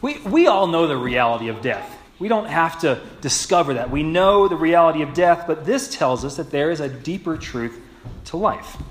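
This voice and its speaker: Light noise can be heard in the background. A man speaks at a moderate pace. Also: lively intonation. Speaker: pastor. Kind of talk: sermon. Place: church.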